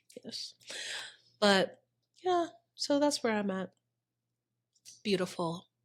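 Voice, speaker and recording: Animated in tone, a woman with a fairly high pitch speaks at a fairly slow pace with very wide pitch swings on a very clean recording with a silent background. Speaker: podcast co-host and aspiring actor. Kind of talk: casual chat.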